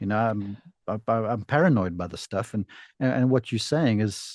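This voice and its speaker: A man with a dark, mellow tone speaks at a moderate pace and ordinary pitch variation. The sound is dry and close with no echo, against a quiet background. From South Africa. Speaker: podcast host and golf instructor. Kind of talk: casual interview chat. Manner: excitable.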